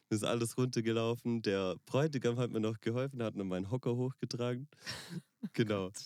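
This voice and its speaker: A man speaks at a moderate pace in a dark, mellow tone at a medium pitch, with fairly even intonation and a dry, close sound with no echo. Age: 20s. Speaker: wedding pianist. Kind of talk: casual chat. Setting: in a VW bus.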